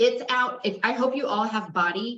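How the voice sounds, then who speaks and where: Loud and high-pitched, a woman's voice comes through. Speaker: fitness instructor. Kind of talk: casual chat.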